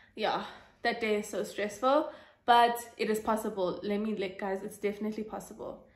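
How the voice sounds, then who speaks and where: With audible room echo, a woman speaks at a fairly quick pace using fairly even intonation. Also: fairly high pitch for a woman. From South Africa. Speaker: YouTuber sharing exam tips. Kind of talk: casual Q&A vlog. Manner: fast; hesitant with fillers.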